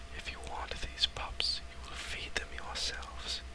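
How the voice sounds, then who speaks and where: Whispering in a gentle tone at a fairly slow pace, the speaker is heard over noticeable background noise. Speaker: ASMR creator reading a novel aloud. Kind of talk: whispered audiobook reading. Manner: soft, gentle, slow.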